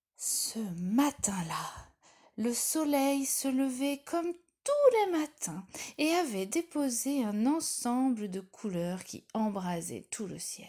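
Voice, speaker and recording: A woman speaks at a very slow pace in a warm, gentle tone. Her high pitch moves through very wide swings. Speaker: storyteller. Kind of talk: bedtime story telling, a children's tale told aloud. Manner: addresses the listener directly as a child, warm and coaxing.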